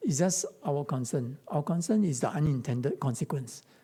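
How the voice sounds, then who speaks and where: A man with a Chinese accent speaks at a moderate pace with lively intonation. His fairly high voice is somewhat breathy, with a dark, mellow tone. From Singapore. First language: Mandarin Chinese. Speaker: pastor. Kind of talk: Q&A talk.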